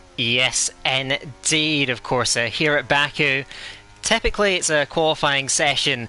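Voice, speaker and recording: A man speaks with a slight Scottish accent and ordinary pitch variation. Background noise is noticeable. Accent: light Scottish. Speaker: esports race commentator. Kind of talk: live commentary. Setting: commentary box.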